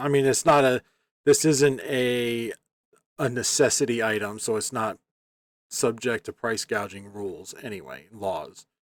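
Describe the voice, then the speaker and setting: An unremarkable speaking voice comes from a man at a medium pitch and moderate pace, with ordinary pitch variation. His loudness swings widely, and the sound is dry and close with no echo. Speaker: eBay reseller. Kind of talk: sales update video. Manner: casual, filler-heavy.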